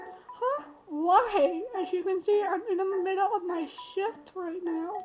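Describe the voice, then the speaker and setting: A woman speaks in a put-on character voice with an extremely high pitch and ordinary pitch variation. Her pace is fairly slow, with faint music in the background. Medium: game stream. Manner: sensible, mildly exasperated.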